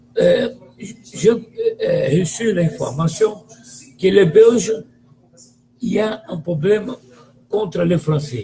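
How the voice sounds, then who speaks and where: A man with a Brazilian accent, very slow and lively in intonation, against noticeable background noise. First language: Portuguese (speaking French). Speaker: football commentator. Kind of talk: video monologue, football opinion rant. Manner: animated; halting.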